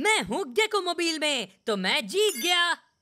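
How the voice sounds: In a cartoonish character voice, the speaker makes big pitch swings with a bright, sharp tone at a moderate pace.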